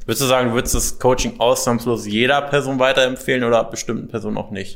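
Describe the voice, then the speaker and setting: A man's medium-pitched voice with vocal fry, at a very fast pace. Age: young. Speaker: weight loss coach. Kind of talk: interview.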